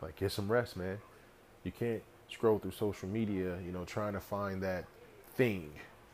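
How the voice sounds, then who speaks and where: Fairly low male voice at a moderate pace, fairly even intonation and long, frequent pauses. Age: 30s. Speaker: podcast host and personal trainer. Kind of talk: solo motivational monologue. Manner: casual, filler-heavy.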